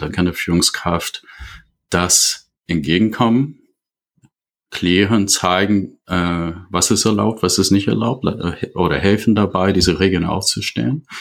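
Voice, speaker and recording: A man speaks very slowly in a very deep, low voice with ordinary pitch variation, recorded very cleanly over a silent background. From USA. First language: English (speaking German). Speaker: leadership consultant. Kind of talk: podcast interview. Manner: halting, many fillers.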